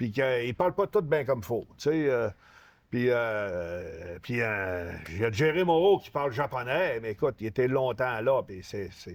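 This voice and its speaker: With a Lac-Saint-Jean accent, a man speaks at a fairly slow pace in a medium pitch, his pitch swinging very widely and his loudness shifting in big swings. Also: very clean recording, silent background. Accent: Lac-Saint-Jean Québécois French. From Quebec, Saguenay–Lac-Saint-Jean. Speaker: retired professional wrestler. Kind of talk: casual interview. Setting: store.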